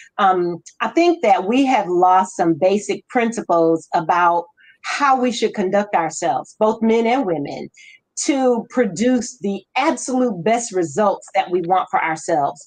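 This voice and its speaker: A woman's plain, everyday voice at medium pitch, fairly slow, with lively intonation and very even loudness. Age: 60s. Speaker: live discussion host. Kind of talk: casual discussion.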